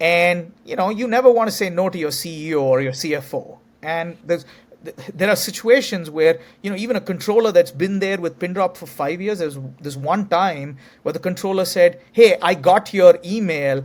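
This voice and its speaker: With an Indian accent, a man speaks at a moderate pace in a high pitch, his pitch varying in an ordinary way. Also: big swings in loudness. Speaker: tech company CEO. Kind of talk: interview.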